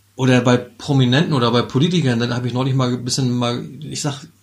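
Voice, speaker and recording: Recorded with audible room echo, a man speaks fairly quickly at a medium pitch, his voice somewhat breathy. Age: 50s. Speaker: podcast co-host. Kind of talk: casual chat.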